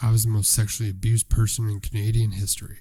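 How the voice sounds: A man puts on a soft-spoken, raspy character voice at a fairly low pitch. He talks at a very fast pace with monotone, flat intonation.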